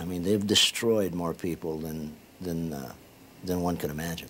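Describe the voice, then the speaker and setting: A man with a very deep, low pitch and ordinary pitch variation speaks over light background noise. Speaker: interviewee. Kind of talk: interview answer. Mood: reflective, serious. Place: home room. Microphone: lapel.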